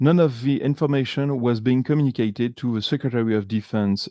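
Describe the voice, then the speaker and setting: Against a quiet background, a man's dark, mellow tone comes through with ordinary pitch variation and a dry, close sound with no echo. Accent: French. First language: French. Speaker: video podcaster analyzing a TV series. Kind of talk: commentary summarizing a documentary. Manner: halting, many fillers and restarts.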